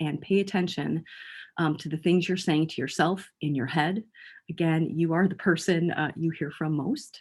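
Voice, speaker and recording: In a very clean recording with a silent background, a woman speaks at a fairly low pitch with fairly even intonation. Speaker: mental health educator. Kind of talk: lecture. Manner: fast; halting.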